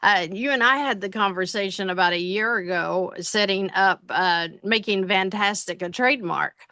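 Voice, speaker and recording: A bright, sharp tone with a Tennessee accent, ordinary pitch variation and a moderate pace. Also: woman. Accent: Tennessee Southern. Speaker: financial business owner, consulting client. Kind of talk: interview testimony. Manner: halting, many fillers.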